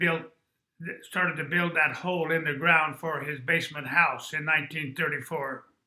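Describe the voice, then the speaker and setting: His tone bright and sharp, a man speaks in a fairly high pitch with monotone, flat intonation. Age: 80s+. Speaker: interviewee recounting family history. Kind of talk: oral history interview. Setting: at family home.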